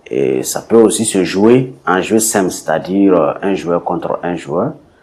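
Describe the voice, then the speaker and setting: At a very slow pace, a man with a Burkinabe accent speaks at a very deep, low pitch with very wide pitch swings. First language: Bissa (speaking French). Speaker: sport creator. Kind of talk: interview. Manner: hesitant, many fillers.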